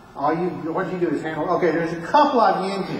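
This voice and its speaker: In an American accent, a man speaks at a high pitch with ordinary pitch variation, amid audible room echo and noticeable background noise. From US South, Alabama. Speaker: conference speaker. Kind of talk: technical presentation. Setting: conference room with audience.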